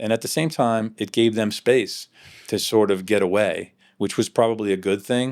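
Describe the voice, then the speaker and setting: A man's plain, everyday voice at a medium pitch and a moderate pace, with fairly even intonation, on a very clean recording with a silent background. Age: 60s. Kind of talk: interview answer.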